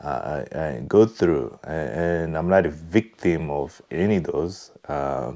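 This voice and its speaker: With a Congolese accent, a man speaks very slowly with hardly any pauses, his very deep, low pitch carrying vocal fry, a dark, mellow tone and ordinary pitch variation. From Congo (DR Congo). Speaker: vlogger. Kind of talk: personal reflection monologue. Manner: halting, many fillers.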